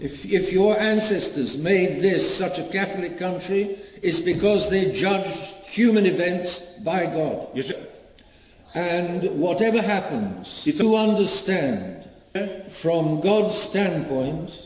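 Amid light background noise and audible room echo, a man speaks very slowly at a high pitch. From Britain. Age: 80s+. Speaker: bishop. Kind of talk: sermon. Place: church. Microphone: camera far.

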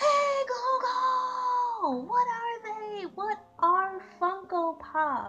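In a put-on character voice, someone shouts loudly at extremely high pitch, at a very slow pace with hardly any pauses. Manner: loud, shouting.

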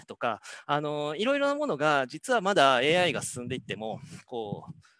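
Over a quiet background, a man speaks at a moderate pace in a bright, sharp tone, the sound dry with no echo. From Hokkaido, Japan. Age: 50s. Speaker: professor. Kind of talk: lecture. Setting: video call. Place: office. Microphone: headset.

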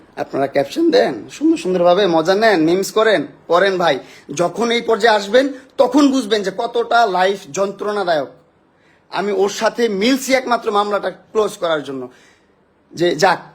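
A man's high voice, animated in tone, with lively intonation. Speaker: TikToker. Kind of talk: emotional live stream rant. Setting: live stream.

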